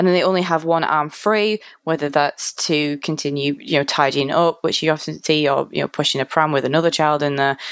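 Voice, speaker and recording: A woman with a Mancunian accent speaks at a very deep, low pitch with ordinary pitch variation. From Manchester, England. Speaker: UX designer. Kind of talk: casual chat.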